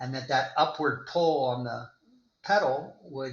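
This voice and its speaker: A normal speaking voice in an American accent, with ordinary pitch variation and a fairly slow pace. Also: man. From US South, Florida. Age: 60s. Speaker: endurance athlete and attorney. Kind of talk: interview.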